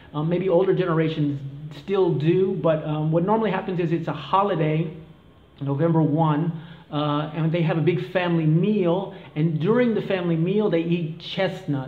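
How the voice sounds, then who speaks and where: A high-pitched man at a moderate pace, fairly even intonation, audible room echo and noticeable background noise. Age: 40s. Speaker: vlogger on expat life. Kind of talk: casual explainer vlog. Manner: hesitant, many fillers.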